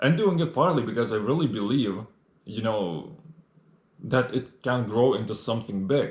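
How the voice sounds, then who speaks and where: Here a man speaks at a moderate pace and medium pitch, somewhat breathy. His intonation is lively. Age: 20s. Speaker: solo podcast host and video creator. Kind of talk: casual monologue. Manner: halting, many fillers.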